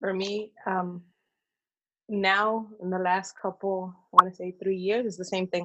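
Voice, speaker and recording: A woman with an American accent speaks at a fairly slow pace. Her intonation stays monotone and flat while her loudness swings a lot. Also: medium pitch for a woman. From Northern California. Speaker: small business owner. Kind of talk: casual interview. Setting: remote call from Mexico.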